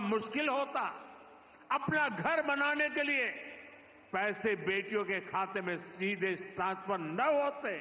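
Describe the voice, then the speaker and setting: Lively intonation from a male speaker, noticeable background noise behind him. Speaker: politician, prime minister. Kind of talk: political speech at public rally.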